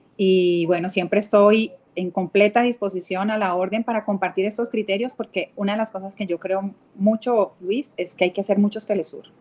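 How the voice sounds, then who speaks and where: A woman talks with a Cali accent at a moderate pace. Her pitch is medium and her intonation fairly even. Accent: Cali Colombian accent, unchanged. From Colombia, Cali. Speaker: TV network executive. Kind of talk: live interview.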